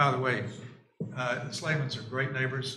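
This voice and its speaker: Audible room echo surrounds a man with an American accent. His pitch is medium, and his pace is moderate. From US South. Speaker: neighbor testifying at public hearing. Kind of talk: testimony. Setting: town board meeting. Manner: halting, many fillers and restarts.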